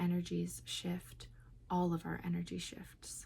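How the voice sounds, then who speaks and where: A soft-spoken woman delivers her words at a fairly slow pace. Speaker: oracle card reader. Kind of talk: channeled card reading.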